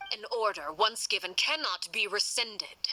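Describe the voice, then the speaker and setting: Putting on a growling character voice, a woman speaks at a medium pitch and moderate pace with lively intonation. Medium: cartoon. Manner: formal, measured, authoritative.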